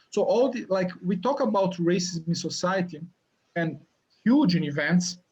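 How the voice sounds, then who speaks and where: A man speaks in a Brazilian accent at a high pitch. He keeps a moderate pace. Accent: Brazilian accent, noticeable. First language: Portuguese. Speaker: university lecturer. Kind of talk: interview. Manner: halting, many repetitions and fillers.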